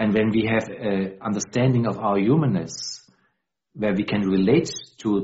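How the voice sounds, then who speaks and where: With a German accent, a man speaks at a fairly slow pace and a fairly low pitch, showing ordinary pitch variation. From Austria. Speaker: dialogue practitioner. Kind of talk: interview. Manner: halting.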